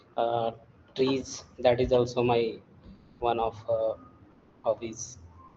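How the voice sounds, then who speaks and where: A man's somewhat breathy, flat, monotone delivery at a very slow pace, with long, frequent pauses. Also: medium pitch for a man. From Ranchi, Jharkhand, India. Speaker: IT course student. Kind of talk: interview conversation. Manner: halting, many fillers.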